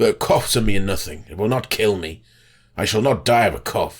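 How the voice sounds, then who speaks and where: Raspy speech in a put-on character voice, delivered at a moderate pace. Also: man, fairly low pitch for a man. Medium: read story.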